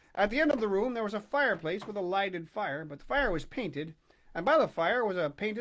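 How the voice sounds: Someone reads in a natural voice. The intonation moves in a lively way.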